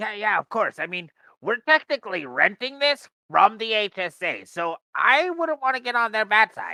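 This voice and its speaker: In a put-on character voice, the speaker talks at a moderate pace and fairly high pitch on a very clean recording with a silent background. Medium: actual play. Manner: chatty salesman.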